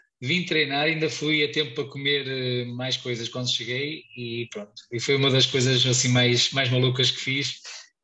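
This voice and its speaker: A man speaks in a European Portuguese accent at medium pitch. His pace is moderate and his intonation fairly even. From Portugal. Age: 30s. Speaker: ultramarathon runner. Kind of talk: casual interview.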